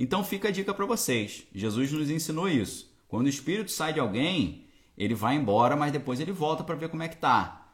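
A man with a Brazilian accent, a fairly high pitch, vocal fry, very wide pitch swings and a fairly quick pace. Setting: home with bookshelves, recording to camera.

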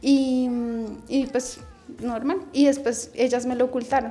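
Fairly even intonation from a woman speaking high in her range. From Bogotá, Colombia. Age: 30s. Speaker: early childhood education student. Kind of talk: radio interview, personal life story.

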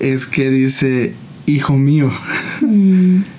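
Noticeable background noise and audible room echo surround the speaker. He is a man with a fairly high pitch and fairly even intonation. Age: 20s. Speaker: church worship leader and content creator. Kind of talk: casual interview about faith and life.

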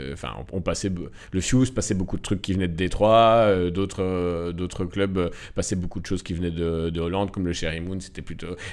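Very deep, low male voice, hardly any pauses, a moderate pace and fairly even intonation. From Belgium, Nivelles (Walloon Brabant), Moroccan roots. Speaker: film editor and director. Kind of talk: casual interview. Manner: halting, many repetitions and hesitations.

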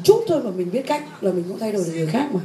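With noticeable background noise and audible room echo, a woman talks at a fairly quick pace with lively intonation. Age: 40s. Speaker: personal development teacher. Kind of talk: lecture.

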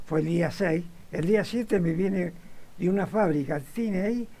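A man speaking at a high pitch with ordinary pitch variation is heard over noticeable background noise. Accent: Rioplatense. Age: 90s. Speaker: retired butcher, football fan. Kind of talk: interview. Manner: halting.

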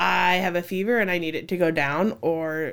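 An unremarkable speaking voice belongs to a woman with an American accent and a fairly low pitch. Her intonation is fairly even, and the recording is very clean with a silent background. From Cedar Falls, Iowa. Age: 30s. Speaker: children's ministry worker. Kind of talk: casual interview.

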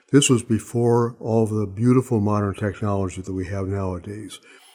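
A man's fairly low, dark, mellow voice at a moderate pace. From Montana, US. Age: 80s. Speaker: retired surgeon. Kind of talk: interview, reflective conversation.

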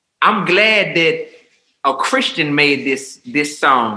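A man with an American accent speaks at a very slow pace. His tone is bright and sharp, with audible room echo. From New Orleans, Louisiana. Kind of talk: casual chat. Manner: animated.

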